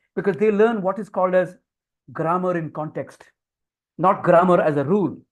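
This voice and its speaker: A man with an Indian accent speaks at a fairly quick pace in a high pitch. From India (Marathi-speaking, Konkani family from Goa side). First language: Konkani/Marathi. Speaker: communication skills trainer. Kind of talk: webinar lecture. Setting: online webinar.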